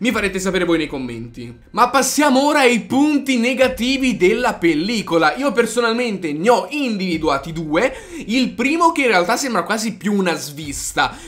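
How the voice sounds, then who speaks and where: A man talks at a moderate pace in a high pitch. His voice makes very wide pitch swings. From Italy. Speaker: YouTuber, anime film reviewer. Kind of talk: video review. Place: home room.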